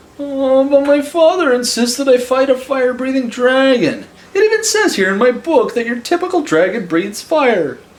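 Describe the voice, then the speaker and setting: In a put-on character voice, a man squeaks at an extremely high pitch, moving at a moderate pace with hardly any pauses. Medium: read story. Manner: nervous, stammering.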